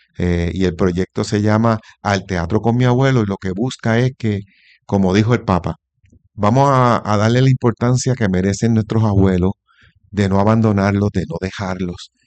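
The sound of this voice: With fairly even intonation, a man speaks at a fairly low pitch. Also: moderate pace, slightly mellow tone.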